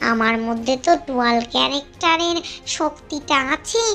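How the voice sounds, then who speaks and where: The speaker uses a cartoonish character voice. Clear music plays in the background. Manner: boastful, addresses listener familiarly.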